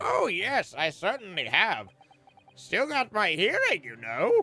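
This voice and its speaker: A put-on character voice at a fairly slow pace. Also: woman. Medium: video game. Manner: rambling.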